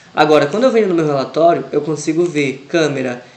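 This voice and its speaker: A fairly high-pitched man with ordinary pitch variation against noticeable background noise. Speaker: Excel teacher. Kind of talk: tutorial.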